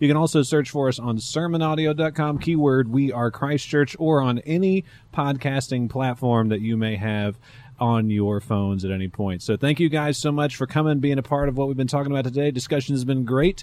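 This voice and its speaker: A man speaks with an American accent at a medium pitch. His pace is fairly quick, with ordinary pitch variation. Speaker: pastor. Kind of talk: casual talk show chat. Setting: live stream.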